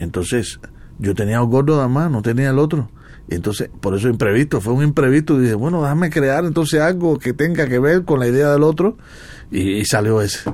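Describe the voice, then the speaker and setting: Speaking fairly quickly, a man with a fairly high pitch uses lively intonation while keeping his loudness very even. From Cuba. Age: 60s. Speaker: jazz trumpeter. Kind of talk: radio interview. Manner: halting.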